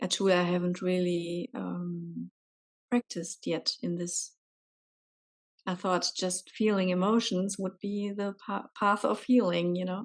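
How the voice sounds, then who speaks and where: Over a quiet background, a woman of medium pitch speaks with fairly even intonation. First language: not English. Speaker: coaching client. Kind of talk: coaching session. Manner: halting, searching for words.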